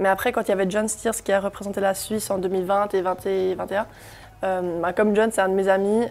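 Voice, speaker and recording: A woman with a German accent speaks at a fairly quick pace. Her pitch is medium and her intonation fairly even. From Germany. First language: German (speaking French). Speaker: singer. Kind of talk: interview. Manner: hesitant, many fillers.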